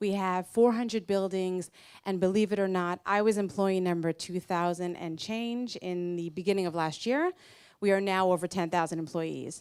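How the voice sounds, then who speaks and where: Here is an unremarkable speaking voice with an American accent. The intonation stays fairly even. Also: woman. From United States. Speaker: marketing executive. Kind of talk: conference talk.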